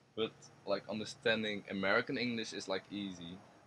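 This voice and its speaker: At a moderate pace, a man with a Dutch accent talks in a fairly low voice. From Netherlands. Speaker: university student. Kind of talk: interview.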